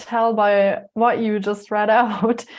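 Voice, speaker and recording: In a German accent, a woman speaks at a very slow pace with a fairly high pitch. The background is quiet. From Germany (Munich), moved to Canada at 13. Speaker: life coach and yoga teacher. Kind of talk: interview.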